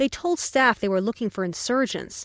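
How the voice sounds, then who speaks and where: A plain, everyday voice talks at a fairly quick pace with lively intonation. The background is quiet. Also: woman, dry, close sound with no echo. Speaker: foreign correspondent. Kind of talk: news reading, scripted dispatch from abroad. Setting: field report from Kabul. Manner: formal, steady, matter-of-fact.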